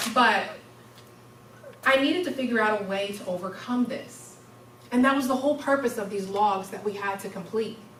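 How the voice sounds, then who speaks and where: A woman with a fairly high pitch speaks at a moderate pace with ordinary pitch variation and long, frequent pauses, over noticeable background noise and audible room echo. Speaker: university student giving a speech. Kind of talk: public speech. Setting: stage with audience. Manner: loud.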